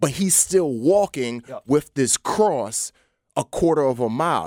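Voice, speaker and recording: Recorded very cleanly against a silent background, with a dry, close sound and no echo, a man with an American accent speaks in a fairly high pitch with very wide pitch swings. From New York City (Bronx). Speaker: actor and former Navy SEAL, speaker. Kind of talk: casual interview. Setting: studio.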